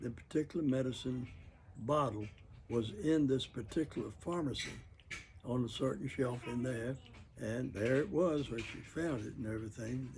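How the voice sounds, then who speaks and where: A man talks at a moderate pace and medium pitch with ordinary pitch variation. His voice is somewhat breathy. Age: 80s+. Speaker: World War II veteran. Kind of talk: interview answer. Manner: hesitant, rambling.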